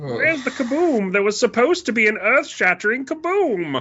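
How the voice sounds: A put-on character voice with a fairly high pitch moves along at a moderate pace.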